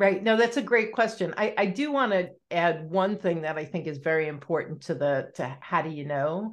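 A woman speaks at a moderate pace in a normal speaking voice, her pitch fairly low and her intonation lively. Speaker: divorce coach. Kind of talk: podcast interview.

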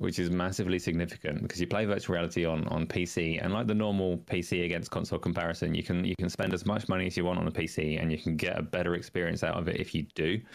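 Over a very clean, silent background, a man with a British accent and a very deep, low pitch talks at a very fast pace, with fairly even intonation and very even loudness. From United Kingdom. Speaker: gaming podcast guest. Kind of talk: casual chat.

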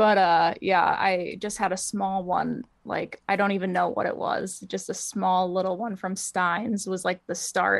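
In a very clean recording with a silent background, a woman speaks fairly slowly with an American accent. Her medium pitch carries vocal fry, and her intonation is fairly even. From Wisconsin, US Midwest. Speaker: plant collector. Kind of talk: casual chat. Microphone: laptop microphone.

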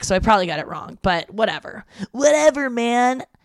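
Doing a put-on character voice, a woman sounds raspy and fairly high-pitched, moving through very wide pitch swings at a fairly quick pace. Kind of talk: casual. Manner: stony, laid-back.

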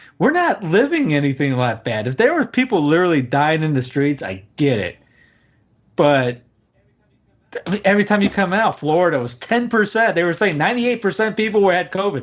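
The tone is animated, with very wide pitch swings. A man with a high pitch speaks in an American accent. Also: moderate pace. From US South. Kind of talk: casual conversation on livestream.

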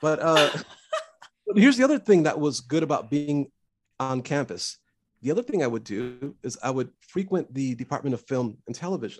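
A man speaks in an ordinary speaking voice at a fairly quick pace. His pitch is fairly high, and his intonation is lively. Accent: American. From US West Coast, Los Angeles. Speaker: composer for animation.

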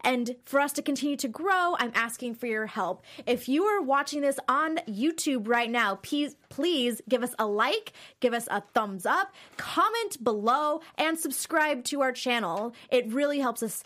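Speaking at a fairly slow pace, a woman with a high pitch uses lively intonation and a bright, sharp tone. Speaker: podcast host. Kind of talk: casual chat. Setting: studio. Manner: excitable.

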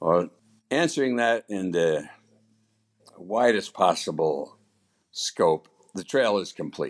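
A man's fairly low voice at a very slow pace, with lively intonation and long, frequent pauses. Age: 80s+. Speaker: trail volunteer. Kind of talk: interview. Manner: halting.

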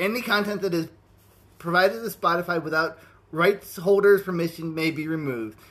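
Animated in tone, a man speaks at a fairly quick pace with a high pitch and ordinary pitch variation. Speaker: podcast host. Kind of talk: casual comedic banter. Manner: animated, jokey.

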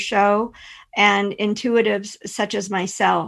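A woman talks at a very slow pace over a quiet background. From Pennsylvania. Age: 50s. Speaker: intuitive and energy healer. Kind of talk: interview conversation.

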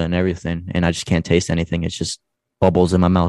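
In a New Jersey accent, a man speaks with a very deep, low pitch against a quiet background. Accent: New Jersey American. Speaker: podcast host, guest. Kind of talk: casual chat.

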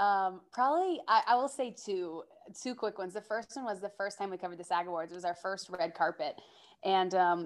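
A woman with an American accent speaks in a normal speaking voice at medium pitch. Her pace is fairly quick and her intonation lively. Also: very clean recording, silent background. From US South (Georgia). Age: 20s. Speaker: entertainment host and journalist. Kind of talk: casual interview chat.

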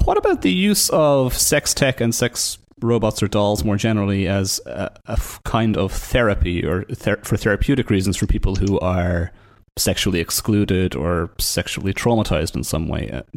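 A man with a fairly low pitch speaks at a moderate pace, using ordinary pitch variation. It is an unremarkable speaking voice, recorded very cleanly against a silent background. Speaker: podcast host. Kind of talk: interview.

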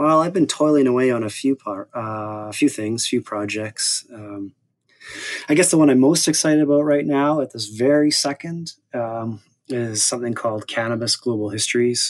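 A man with a Canadian accent and an unremarkable speaking voice, medium pitch, ordinary pitch variation, moderate pace, dry, close sound with no echo. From Saskatoon, Canada. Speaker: historian and author. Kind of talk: interview conversation.

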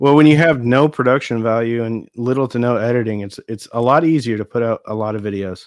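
A man with an American accent and a normal speaking voice talks at a medium pitch and a fairly quick pace, with ordinary pitch variation and hardly any pauses. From Nebraska, US. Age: 40s. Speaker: audio equipment YouTuber. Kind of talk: casual chat.

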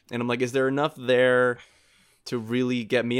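In a very clean recording with a silent background, a man talks at a fairly quick pace in a medium-pitched, ordinary speaking voice. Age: 20s. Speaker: video producer. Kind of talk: casual chat.

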